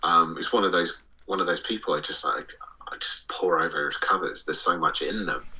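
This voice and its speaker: A man with an English accent talks at a fairly quick pace. Noticeable background noise runs beneath him. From England. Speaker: podcast co-host. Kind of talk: casual chat.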